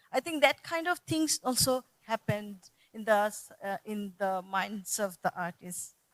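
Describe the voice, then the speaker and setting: Dry and close with no echo, a voice with a Bengali accent speaks at a fairly slow pace. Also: woman, fairly high pitch for a woman. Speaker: art school director and panelist. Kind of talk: panel discussion. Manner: halting.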